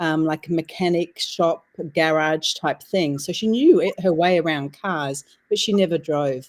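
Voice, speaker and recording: A woman talks in an Australian accent at a fairly slow pace. Her fairly low voice has ordinary pitch variation on a very clean recording with a silent background. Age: 60s. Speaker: author and women's circle leader. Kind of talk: interview chat.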